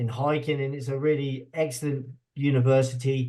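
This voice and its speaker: A man with a British accent speaks in a somewhat breathy, fairly high voice, with monotone, flat intonation at a moderate pace. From UK. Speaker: university associate dean. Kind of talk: informational webinar presentation. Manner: hesitant, with fillers.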